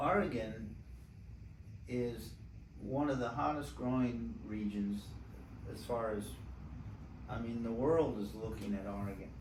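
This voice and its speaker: Noticeable background noise and audible room echo fill the recording of a man. He talks at a fairly slow pace with long, frequent pauses and ordinary pitch variation. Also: medium pitch for a man. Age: 70s. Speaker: winemaker. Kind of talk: casual chat.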